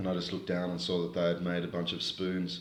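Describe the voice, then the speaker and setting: An Australian-accented man with a very deep, low voice speaks at a fairly quick pace. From Australia (Queanbeyan, New South Wales), Malaysian-Australian. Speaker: spoken word poet, rapper and novelist. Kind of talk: interview answer.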